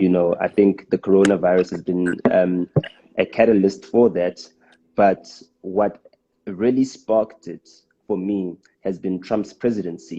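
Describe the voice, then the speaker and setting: With a South African accent, a man talks at a fairly slow pace in a very deep, low pitch and a dark, mellow tone, leaving long, frequent pauses, all in a dry, close sound with no echo. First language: Xitsonga. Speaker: rapper and live streamer. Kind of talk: casual live stream talk. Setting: live stream. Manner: halting, many fillers.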